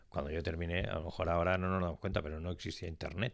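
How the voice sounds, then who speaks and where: Intonation stays fairly even on a very clean recording with a silent background. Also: man. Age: 60s. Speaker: business executive, pharmacist by training. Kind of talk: interview.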